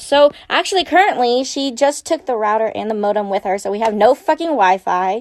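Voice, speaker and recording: A woman with a normal speaking voice talks at a moderate pace and a fairly high pitch. The sound is dry and close, with no echo. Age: 20s. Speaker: college student podcaster. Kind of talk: casual chat.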